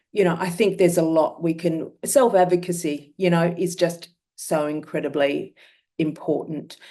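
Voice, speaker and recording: In an Australian accent, the voice carries a dark, mellow tone, fairly even intonation and a moderate pace. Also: woman, fairly low pitch for a woman. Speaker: myeloma patient. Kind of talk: testimony.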